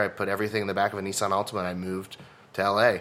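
Loud and bright with a sharp tone, a man with an American accent speaks at a fairly low pitch. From Texas. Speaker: stand-up comedian. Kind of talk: casual interview chat. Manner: loud, projecting voice.

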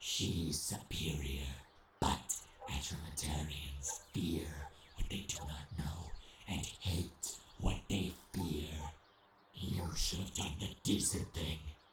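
A man with a very deep, low pitch speaks at a very slow pace, leaving long, frequent pauses over a hissing sound. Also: fairly even intonation. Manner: sneering, sarcastic, hissing.

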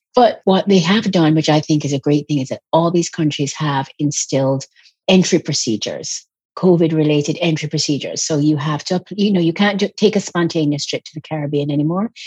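A somewhat breathy voice speaks at a fairly quick pace with ordinary pitch variation. The sound is dry and close, with no echo. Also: woman, very deep, low pitch for a woman. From Jamaica and England. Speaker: travel writer. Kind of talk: interview. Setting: video call.

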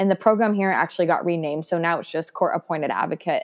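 A woman with an American accent speaks at a medium pitch with ordinary pitch variation, in a plain, everyday voice. The sound is dry and close, with no echo. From US West Coast. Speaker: former foster youth and adoptee. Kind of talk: personal testimony in interview.

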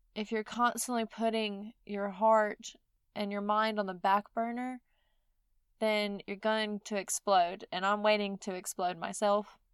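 In a Mississippi accent, a woman speaks at a fairly slow pace with monotone, flat intonation, the sound dry and close with no echo. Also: medium pitch for a woman. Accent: Southern US (Mississippi). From US South, Mississippi. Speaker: podcast host. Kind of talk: solo podcast monologue.

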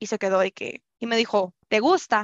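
At a moderate pace, a woman with an unremarkable speaking voice talks at a fairly high pitch. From Culiacán, Sinaloa, Mexico. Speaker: podcast guest sharing a personal story. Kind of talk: personal storytelling in casual interview.

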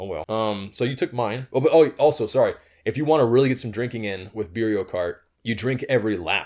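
Moving at a fairly quick pace, a man of medium pitch speaks in a plain, everyday voice with ordinary pitch variation. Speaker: podcast co-host. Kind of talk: casual banter. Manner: relaxed, joking.

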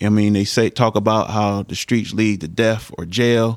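A man with an American accent and a plain, everyday voice speaks at a moderate pace with a fairly low pitch and fairly even intonation, the sound dry and close with no echo. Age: 40s. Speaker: former high school football player, community figure. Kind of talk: casual interview.

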